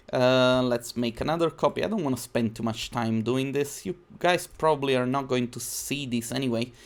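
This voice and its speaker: A moderate pace with hardly any pauses and ordinary pitch variation. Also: man. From southern Italy (Naples area); southern Italy. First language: Italian. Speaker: 3D designer and YouTuber; YouTuber. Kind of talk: live-stream tutorial. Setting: live stream. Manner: casual, chatty. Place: home room.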